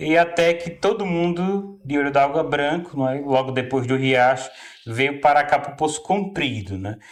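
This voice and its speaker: A man at a fairly slow pace, ordinary pitch variation, noticeable background noise behind him. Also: fairly high pitch for a man. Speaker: local resident. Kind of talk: interview. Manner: halting.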